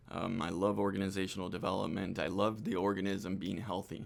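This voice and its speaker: A man with a Spanish accent and a fairly low pitch at a fairly quick pace, in a very clean recording with a silent background. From Argentina and Costa Rica. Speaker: hospitality business manager. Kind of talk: interview. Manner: hesitant, many fillers.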